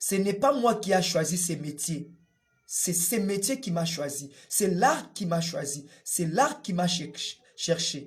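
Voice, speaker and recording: With lively intonation and a high pitch, a man speaks at a very slow pace amid audible room echo. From DR Congo. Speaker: puppeteer and storyteller. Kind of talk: interview testimony. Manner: hesitant with fillers.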